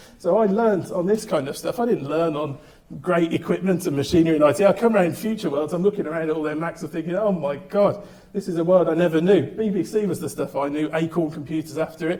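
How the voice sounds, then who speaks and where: Against noticeable background noise, a man talks very fast at a high pitch with ordinary pitch variation. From England, Birmingham. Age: 30s. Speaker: entrepreneur. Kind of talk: talk to audience.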